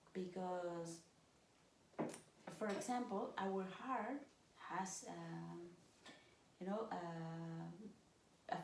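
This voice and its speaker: A woman's somewhat breathy, medium-pitched voice with a non-native accent, plus audible room echo. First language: not English. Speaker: stepmother of the channel host. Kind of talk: casual chat. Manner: halting.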